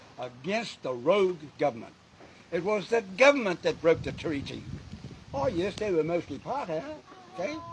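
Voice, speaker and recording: A man's high-pitched voice with very wide pitch swings, a moderate pace, long, frequent pauses and noticeable background noise. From New Zealand, Māori. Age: 80s+. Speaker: Māori elder and activist. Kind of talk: speech to a gathering. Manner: impassioned.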